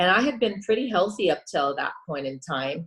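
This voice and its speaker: A woman speaks at a moderate pace, somewhat breathy. Her pitch is fairly low. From Hawaii. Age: 60s. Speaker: guest telling her health story. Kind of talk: casual chat.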